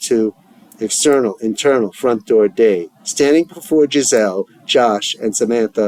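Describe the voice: The clip consists of plain reading aloud.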